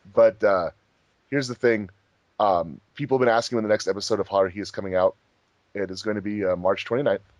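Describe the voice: Fast speech from a man, fairly low in pitch, with ordinary pitch variation.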